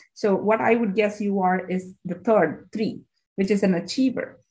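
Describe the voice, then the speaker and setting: Here a woman talks at a moderate pace. The voice has a somewhat breathy quality. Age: 40s. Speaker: naturopathic doctor, podcast host. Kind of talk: casual interview chat. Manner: animated.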